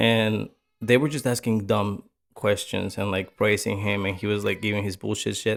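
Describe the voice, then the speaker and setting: Fairly low male pitch with vocal fry and fairly even intonation, in a very clean recording with a silent background. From Mexico. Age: 30s. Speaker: podcast host. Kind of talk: casual chat.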